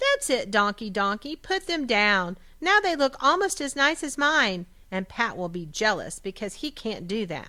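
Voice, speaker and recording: Speaking at a moderate pace in a put-on character voice, a woman with a fairly high pitch makes very wide pitch swings in a very clean recording with a silent background. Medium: read story.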